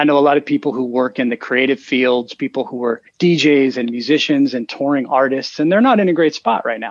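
A man with an ordinary speaking voice talks at a fairly quick pace. His pitch is fairly high, with ordinary pitch variation. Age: 30s. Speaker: IT business owner. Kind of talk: interview.

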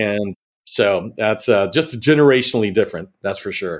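With a plain, everyday voice and an American accent, a man speaks at a moderate pace in a fairly low pitch with ordinary pitch variation. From Texas. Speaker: channel sales executive. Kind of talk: interview.

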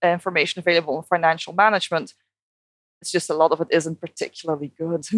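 With a Dutch accent, a woman talks very fast in a fairly low voice. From Netherlands. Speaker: behavioral scientist. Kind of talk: interview.

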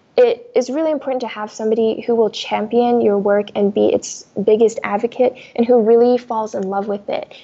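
Fairly even intonation from a woman, her pitch fairly high. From US, immigrated from China as a child. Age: 20s. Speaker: novelist. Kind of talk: interview. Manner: fast.

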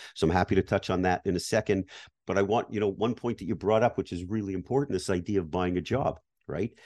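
Speaking very fast with a Canadian accent, a man uses a fairly low pitch and fairly even intonation, with a dry, close sound with no echo and a quiet background. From Canada. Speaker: business acquisition advisor. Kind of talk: interview.

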